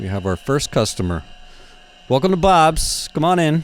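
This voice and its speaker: Very wide pitch swings mark this man's speech. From US East Coast. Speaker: underwater photographer and video host. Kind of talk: casual commentary over underwater footage. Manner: animated.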